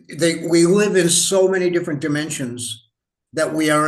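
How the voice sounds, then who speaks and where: A man's voice is heard. There is audible room echo. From United States. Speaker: writer and historian interviewer. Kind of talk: interview conversation.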